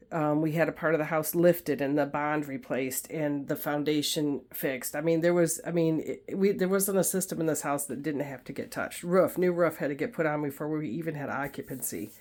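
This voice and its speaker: This woman has a very deep, low pitch and ordinary pitch variation. She talks at a fairly quick pace with hardly any pauses. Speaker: YouTuber and farmer. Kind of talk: home tour vlog. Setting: indoors, filming a guest room. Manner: fast; casual, with fillers. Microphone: amateur recording, no professional equipment.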